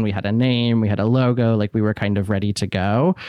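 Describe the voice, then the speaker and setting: A man with medium pitch at a moderate pace, in a quiet background. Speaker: podcaster. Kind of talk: casual interview chat. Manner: calm, steady.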